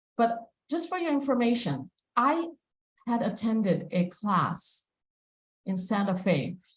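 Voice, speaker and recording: A woman's fairly high, somewhat breathy voice at a fairly slow pace, with very wide pitch swings and long, frequent pauses. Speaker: devotional class speaker. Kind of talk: scripture class lecture. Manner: halting with fillers.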